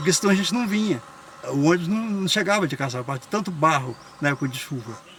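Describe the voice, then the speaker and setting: The speech moves at a very fast pace with very wide pitch swings. Noticeable background noise is present. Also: man, high pitch for a man. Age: 70s. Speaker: interviewee, elderly local resident. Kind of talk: casual interview chat.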